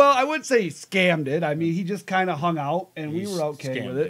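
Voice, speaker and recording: Talking at a fairly quick pace, a man with an unremarkable speaking voice uses a fairly high pitch. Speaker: wrestling podcast host. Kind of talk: casual live show talk.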